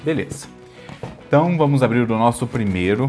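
Here a man talks with ordinary pitch variation. Faint music sits in the background. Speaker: food reviewer. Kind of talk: casual product review vlog. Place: kitchen. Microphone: lapel.

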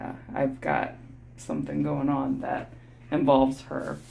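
Music is heard in the background. Over it, a woman talks very slowly. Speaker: vlogger. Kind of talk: casual vlog chat. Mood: relaxed, amused. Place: bathroom. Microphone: phone near.

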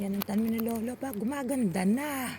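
A woman speaks at a moderate pace in a fairly high pitch, her intonation fairly even, with noticeable background noise present. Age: old. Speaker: vlogger and farmer. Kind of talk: casual vlog narration. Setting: outdoors.

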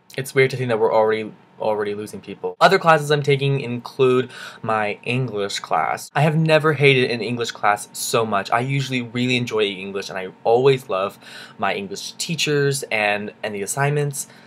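A man talks at a medium pitch and a moderate pace, with ordinary pitch variation. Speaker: college student vlogger. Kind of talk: video diary. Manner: animated. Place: home room. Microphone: webcam.

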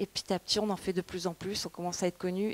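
The delivery is very fast, with flat, monotone intonation. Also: woman. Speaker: conference interpreter and translator; guest. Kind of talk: conference talk. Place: classroom. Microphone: handheld.

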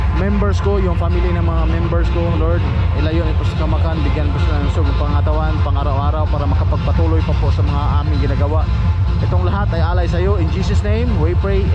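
A man rattles along at a very fast pace with clear music behind him. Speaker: vlogger. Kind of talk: casual vlog chat. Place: street. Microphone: phone near.

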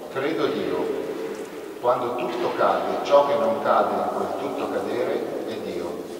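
A man speaks at a fairly slow pace. There is strong room echo and light background noise. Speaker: event host and presenter. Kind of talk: moderating a book presentation. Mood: calm, reflective. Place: church.

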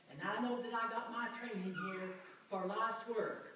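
A woman speaks at a fairly slow pace with a fairly high pitch. Strong room echo and light background noise surround her voice. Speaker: missionary. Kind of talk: church testimony. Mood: warm, joyful, grateful. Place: church. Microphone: camera far.

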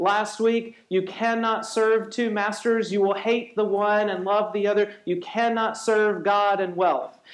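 Audible room echo and a quiet background frame a man speaking in a high pitch at a fairly slow pace. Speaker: pastor. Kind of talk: sermon. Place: church.

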